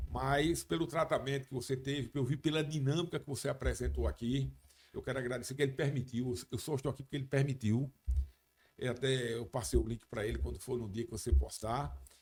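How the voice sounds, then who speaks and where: Vocal fry runs through this man's medium-pitched voice. He talks at a fairly quick pace with ordinary pitch variation. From Brazil, Paraíba (João Pessoa). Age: 60s. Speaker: radio and TV sports journalist, former police officer. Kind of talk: podcast interview. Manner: halting, many false starts.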